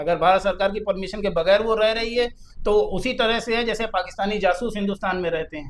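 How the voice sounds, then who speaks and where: This man has a high pitch and fairly even intonation, speaking at a moderate pace. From Kanpur, Uttar Pradesh, India. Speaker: lawyer. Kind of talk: interview.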